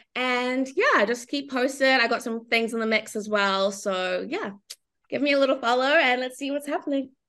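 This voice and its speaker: A woman's high-pitched, animated voice with a bright, sharp tone, ordinary pitch variation and a moderate pace. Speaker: reality TV contestant. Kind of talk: casual interview chat. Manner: animated, excitable.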